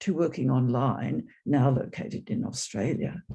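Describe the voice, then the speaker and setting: Very wide pitch swings and vocal fry in a man's voice. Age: 80s+. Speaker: attendee sharing in Q&A, psychoanalyst and former nurse. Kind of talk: casual sharing in online discussion. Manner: halting, many repetitions.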